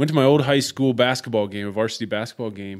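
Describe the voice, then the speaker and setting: On a very clean recording with a silent background, a man with an American accent talks at medium pitch with ordinary variation. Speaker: podcast host. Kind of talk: casual chat.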